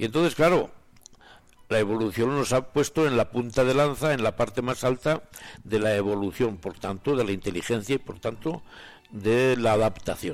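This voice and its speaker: With music playing behind him, a man talks at a moderate pace and medium pitch, with ordinary pitch variation. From Spain, Soria province. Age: 80s+. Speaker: retired professor and writer. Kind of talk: radio talk.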